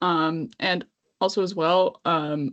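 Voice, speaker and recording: A woman with a Canadian accent. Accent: very Canadian. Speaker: podcast co-host. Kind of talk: casual chat.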